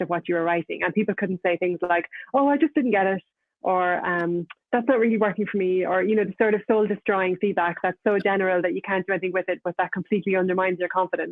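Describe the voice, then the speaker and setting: A woman talks at a very fast pace. She has an Irish accent. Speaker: novelist. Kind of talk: panel discussion. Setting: online video event.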